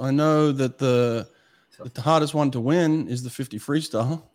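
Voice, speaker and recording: A man with an Australian accent talks in a fairly high pitch with ordinary pitch variation. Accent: Australian, kept despite years in US. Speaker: swimming coach, former Olympic sprinter and podcast host. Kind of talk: casual interview chat.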